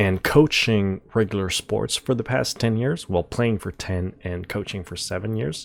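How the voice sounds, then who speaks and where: A man's fairly low voice in a French accent, at a fairly slow pace with ordinary pitch variation, on a very clean recording against a silent background. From France. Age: 20s. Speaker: esports analyst and content creator. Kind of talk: channel introduction monologue. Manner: casual, with frequent fillers and repetitions.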